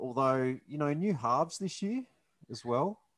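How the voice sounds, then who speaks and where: With a normal speaking voice and lively intonation, this man talks at a fairly slow pace. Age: 40s. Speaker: podcast co-host, rugby league fan show. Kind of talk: casual chat. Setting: video call.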